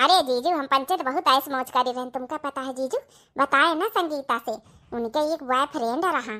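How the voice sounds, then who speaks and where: Cartoonish character voice from a woman at a high pitch, very clean recording with a silent background. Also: moderate pace. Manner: sly, wheedling.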